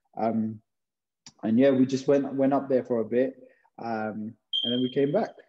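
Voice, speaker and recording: Speaking with a London accent, a man keeps a medium pitch and fairly even intonation. His pace is moderate, broken by long, frequent pauses. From London, England (Hounslow). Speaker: physiotherapist. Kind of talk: casual chat.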